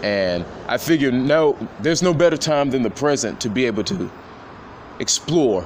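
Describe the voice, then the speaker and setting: Here a man talks at medium pitch and a moderate pace. His pitch swings very widely, with long, frequent pauses. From Nashville, Tennessee. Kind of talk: motivational monologue.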